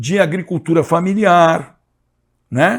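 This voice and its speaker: Speaking at a very slow pace, a man uses a high-pitched voice. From Brazil, São José dos Campos (São Paulo state). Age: 60s. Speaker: history teacher and environmentalist. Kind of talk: lecture. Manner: hesitant, many fillers and repetitions.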